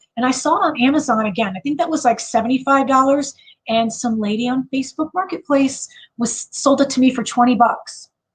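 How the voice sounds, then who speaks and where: A woman talks at a fairly quick pace with an American accent. Her voice is high-pitched and has ordinary pitch variation. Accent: Chicago accent, per others. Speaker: livestream host, online seller. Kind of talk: casual livestream chat. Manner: hesitant, many fillers.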